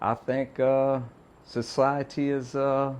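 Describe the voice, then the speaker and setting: A man at medium pitch with an American accent. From US South, Louisiana (Donaldsonville). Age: 30s. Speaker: podcast guest. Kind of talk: casual interview chat. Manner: halting, many repeats and fillers.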